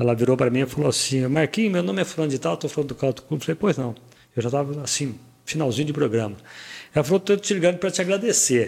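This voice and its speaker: A man with a fairly high-pitched voice talks at a very fast pace with lively intonation. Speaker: radio broadcaster and podcast host. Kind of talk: casual interview chat.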